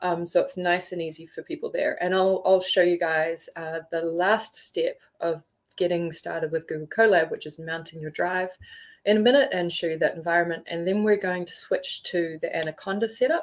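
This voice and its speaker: A woman speaks in a New Zealand accent. The recording is very clean, with a silent background. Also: moderate pace. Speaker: geothermal tutorial instructor. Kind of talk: tutorial. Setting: live stream.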